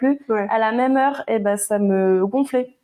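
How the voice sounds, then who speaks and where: With fairly even intonation, a woman uses a normal speaking voice at a fairly high pitch. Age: 20s. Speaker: barista and proofreader, small business creator. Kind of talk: casual chat.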